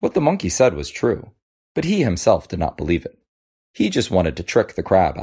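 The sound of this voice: The background stays quiet while someone reads in an unforced voice.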